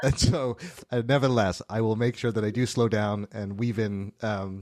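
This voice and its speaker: The speaker is a man with a medium pitch. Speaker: podcast host. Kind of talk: interview. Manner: fast.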